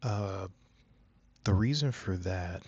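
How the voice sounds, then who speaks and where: A man with a very deep, low voice sounds somewhat breathy, with ordinary pitch variation. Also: quiet background. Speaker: art YouTuber. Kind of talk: casual channel update talk. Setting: home room, not soundproofed. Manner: halting, many fillers; soft-spoken at times.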